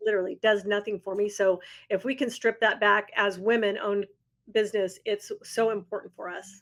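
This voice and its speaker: Pitched at a medium level, a woman speaks at a fairly quick pace. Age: 60s. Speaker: agency founder. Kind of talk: interview. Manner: animated.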